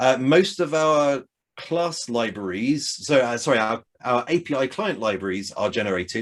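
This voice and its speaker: A man with an unremarkable speaking voice talks at a moderate pace and medium pitch. His intonation is lively. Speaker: software developer giving a tech talk. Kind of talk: technical talk with live code demo. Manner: casual, many fillers.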